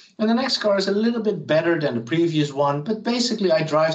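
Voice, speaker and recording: Talking at a very fast pace with lively intonation, a man is heard through noticeable background noise and audible room echo. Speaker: professor. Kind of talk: lecture.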